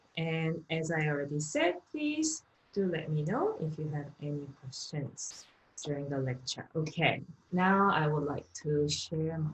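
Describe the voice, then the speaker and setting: In a Korean accent, a woman speaks fairly slowly with a very deep, low, somewhat breathy voice. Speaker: economics lecturer. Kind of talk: online lecture.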